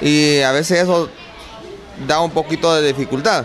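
There is faint music in the background while the man talks. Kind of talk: interview answer. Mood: proud, upbeat. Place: classroom. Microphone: handheld.

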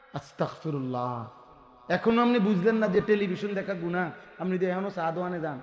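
Lively intonation and an animated tone come through noticeable background noise and audible room echo. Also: man, high pitch for a man. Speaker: Islamic preacher. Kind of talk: sermon.

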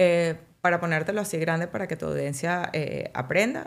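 At a moderate pace, a woman speaks in a plain, everyday voice, fairly low in pitch, with fairly even intonation. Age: 40s. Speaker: physician specializing in aesthetic medicine; guest. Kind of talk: casual interview. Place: studio. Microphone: studio mic.

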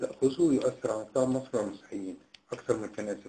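Ordinary pitch variation marks this dark, mellow voice as it moves at a moderate pace. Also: man. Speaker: political analyst. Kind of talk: interview. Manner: formal.

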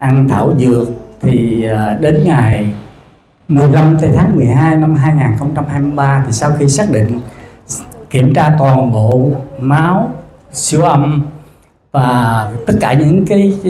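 Over light background noise and audible room echo, a man speaks at a very slow pace with long, frequent pauses, ordinary pitch variation and very even loudness. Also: fairly high pitch for a man. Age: 60s. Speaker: cancer patient. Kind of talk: testimony. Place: hall. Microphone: handheld.

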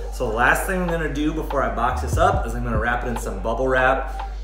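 A man's moderately paced speech is accompanied by clear background music. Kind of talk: tutorial. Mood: relaxed and cheerful. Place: home room. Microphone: camera far.

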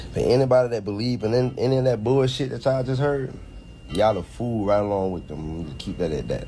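There is light background noise behind a man speaking at a moderate pace. His intonation is lively. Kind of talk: casual vlog rant. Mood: angry, accusatory. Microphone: phone near.

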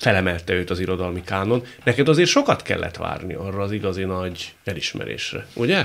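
A man's fairly low-pitched voice moves at a moderate pace, its pitch varying in an ordinary way. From Hungary. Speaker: radio talk show host. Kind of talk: interview conversation. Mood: relaxed, friendly. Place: studio. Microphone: studio mic.

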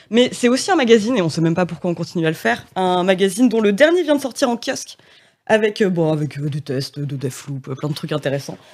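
Over a quiet background, a woman speaks at a very fast pace with very wide pitch swings. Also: medium pitch for a woman. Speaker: interviewer. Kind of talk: casual interview. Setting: studio. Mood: playful, ironic. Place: studio. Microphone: studio mic.

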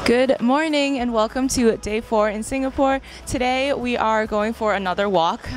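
At a moderate pace, a woman talks with ordinary pitch variation. The sound is dry with no echo, and there is light background noise. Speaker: travel vlogger. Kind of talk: casual vlog chat. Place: street. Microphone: handheld.

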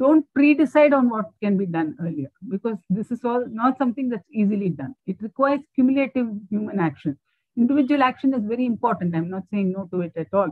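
A somewhat breathy woman talks at a fairly quick pace with very wide pitch swings. The background is quiet and the sound dry, with no echo. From India. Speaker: climate researcher, keynote speaker; keynote speaker. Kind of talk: lecture. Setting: video call. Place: home room. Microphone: earbuds.

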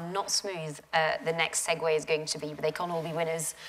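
A woman's normal speaking voice, fairly low in pitch, at a fairly quick pace. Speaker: journalist interviewer. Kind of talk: interview on stage. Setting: lecture theatre with audience. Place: hall. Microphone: lapel.

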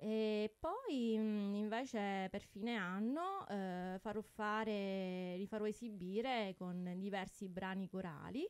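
Speaking very slowly with hardly any pauses, a woman uses a medium pitch and ordinary pitch variation. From Sicily, Tortorici; Sicily. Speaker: opera soprano and music teacher; radio guest or host. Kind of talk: radio interview. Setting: radio studio. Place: studio. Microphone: studio mic.

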